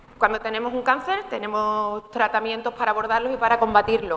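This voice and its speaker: Over noticeable background noise, a woman talks at a very fast pace in a fairly high pitch with ordinary pitch variation. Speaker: gynecologist giving a talk. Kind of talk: informal medical talk.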